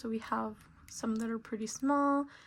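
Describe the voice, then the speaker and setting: A woman's fairly high, somewhat breathy voice keeps a fairly even intonation. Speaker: craft youtuber. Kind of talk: tutorial. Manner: hesitant, many fillers.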